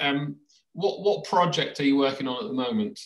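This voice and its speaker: Someone speaks at a moderate pace with lively intonation, with audible room echo and a quiet background. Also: man. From UK. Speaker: education blogger and podcast host; education blogger, podcast host. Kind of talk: casual interview. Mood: relaxed, friendly. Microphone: video call.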